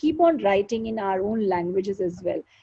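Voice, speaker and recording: A woman with an Indian accent speaks at a moderate pace with lively intonation. Her tone is dark and mellow, and somewhat breathy. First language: Hindi. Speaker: show host and poet. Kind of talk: live interview chat.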